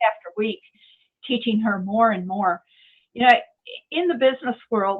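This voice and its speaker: A woman's fairly high voice with an American accent, lively intonation, a moderate pace and long, frequent pauses. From United States, Indiana. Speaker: entrepreneur, marketing director. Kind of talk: interview answer.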